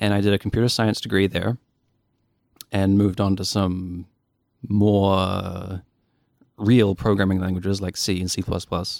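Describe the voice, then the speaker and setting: A man with a fairly low pitch speaks at a moderate pace in a monotone, with flat intonation and long, frequent pauses. The recording is very clean, with a silent background. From New Zealand, Dunedin (South Island). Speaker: game programmer. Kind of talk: casual chat.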